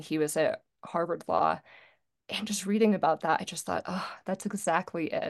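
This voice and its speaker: A woman with an American accent at a moderate pace, against a quiet background. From Virginia, US. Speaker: executive and creative coach. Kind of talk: interview.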